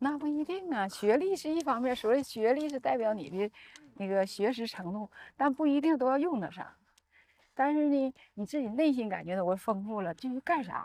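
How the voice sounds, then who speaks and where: Her tone is dark and mellow, yet this woman's pitch is high. She keeps to a moderate pace. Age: 60s. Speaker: doctor. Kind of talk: casual chat. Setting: outdoors, walking.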